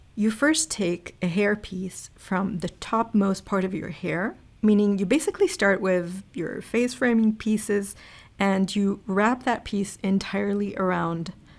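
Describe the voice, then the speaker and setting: A woman speaks at a medium pitch with an American accent. The recording is very clean, with a silent background. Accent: American-sounding. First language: not English. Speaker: beauty YouTuber. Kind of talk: tutorial; scripted voiceover. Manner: casual, chatty.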